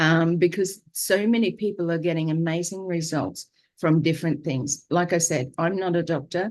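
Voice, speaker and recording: With an Australian accent, a woman talks at a moderate pace, fairly low in pitch, with fairly even intonation. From Queensland, Australia. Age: 60s. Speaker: vlogger sharing diet journey. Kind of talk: live video monologue. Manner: hesitant, many fillers.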